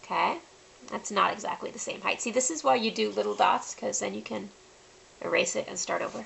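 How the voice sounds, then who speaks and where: A soft-spoken woman at a fairly quick pace, with noticeable background noise. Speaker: face painting artist and tutorial host. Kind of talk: tutorial. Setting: home, late at night. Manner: soft-spoken, quiet.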